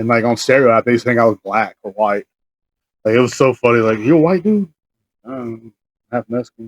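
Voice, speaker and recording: The speaker has a slight Southern US accent and ordinary pitch variation. Long, frequent pauses break up the speech, recorded dry and close with no echo. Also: man, medium pitch for a man. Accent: slight Southern drawl. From Texas, Marble Falls. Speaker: podcast co-host, jiu-jitsu practitioner. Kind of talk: casual chat.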